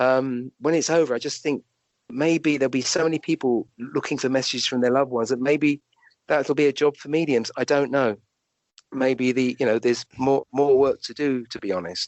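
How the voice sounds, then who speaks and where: A man talks at a fairly quick pace with a southern English accent. His pitch sits in the medium range and his intonation stays fairly even. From London, England. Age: 60s. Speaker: doctor and medium. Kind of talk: interview. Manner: halting.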